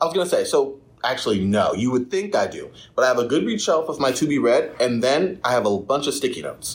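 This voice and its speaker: A man with a fairly high pitch, very fast pace and lively intonation. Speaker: podcast host, library staff. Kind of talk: casual podcast chat. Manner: fast talker.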